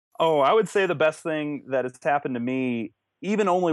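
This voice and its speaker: A man is speaking. His intonation is lively. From New Mexico, US. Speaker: contract archaeologist. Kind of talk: interview. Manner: halting, many fillers.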